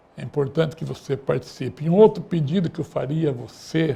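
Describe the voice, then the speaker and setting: A man's fairly high, dark and mellow voice with vocal fry, at a moderate pace. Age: 70s. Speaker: radio talk show host. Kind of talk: closing remarks of political talk show. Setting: studio.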